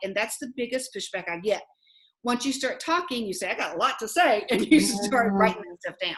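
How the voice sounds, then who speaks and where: In a Southern US accent, a woman talks at a fairly quick pace with a fairly high pitch. Her intonation is lively and her loudness swings widely. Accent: Southern American. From Southern United States. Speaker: life coach. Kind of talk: interview answer. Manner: fast.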